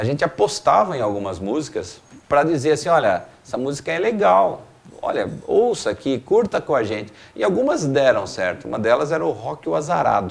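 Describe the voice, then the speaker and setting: Fairly high in pitch with vocal fry, a man speaks at a moderate pace, his pitch swinging very widely. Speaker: rock band singer. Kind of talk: interview.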